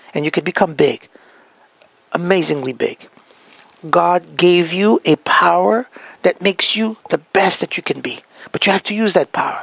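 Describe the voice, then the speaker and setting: With a French accent, a man talks at a moderate pace in a high voice with lively intonation, the sound dry and close with no echo. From France. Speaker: healthcare practice consultant. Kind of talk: motivational talk.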